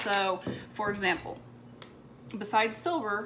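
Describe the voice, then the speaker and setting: With music in the background and audible room echo, a woman talks at a fairly high pitch. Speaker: crafter making a tumbler cup tutorial. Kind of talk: tutorial. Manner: casual, chatty.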